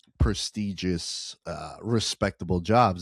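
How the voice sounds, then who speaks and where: Captured in a very clean recording with a silent background and a dry, close sound with no echo, a man with an American accent speaks at a very deep, low pitch with ordinary pitch variation. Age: 30s. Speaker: sports betting podcast host. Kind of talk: casual chat. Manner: animated.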